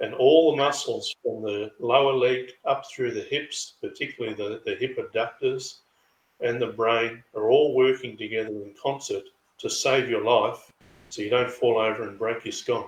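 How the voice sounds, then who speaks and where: Someone talks at a moderate pace in an Australian accent. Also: man. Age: 60s. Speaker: chiropractor and karate practitioner. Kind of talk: interview.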